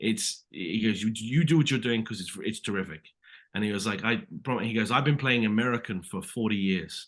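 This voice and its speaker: The man speaks in a British accent at a medium pitch. His pitch variation is ordinary, and the background is quiet. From Britain. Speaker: actor. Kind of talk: interview. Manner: animated.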